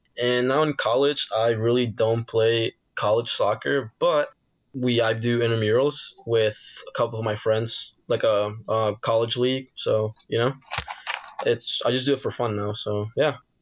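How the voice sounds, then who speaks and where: A man's unremarkable speaking voice at medium pitch, fairly slow pace and fairly even intonation. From Peru, moved to US as a child. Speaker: esports pro gamer. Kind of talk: interview.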